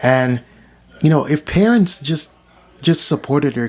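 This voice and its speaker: Background noise is noticeable throughout. A man talks at a moderate pace. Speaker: vlogger and writer. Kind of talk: casual vlog monologue. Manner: rambling, many fillers.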